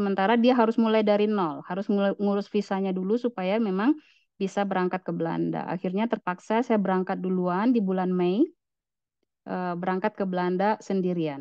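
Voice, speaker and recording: Quiet surroundings and a dry, echo-free sound for a female speaker. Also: ordinary pitch variation, fairly quick pace. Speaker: nursing academic and scholarship alumna; presenter. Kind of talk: online presentation; webinar presentation. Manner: halting, many fillers. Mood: personal, reflective storytelling. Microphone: video call.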